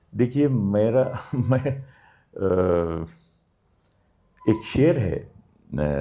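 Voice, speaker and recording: Speaking with lively intonation and long, frequent pauses, a man has a dark, mellow tone. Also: medium pitch for a man. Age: 60s. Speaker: theatre actor and architect. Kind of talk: interview.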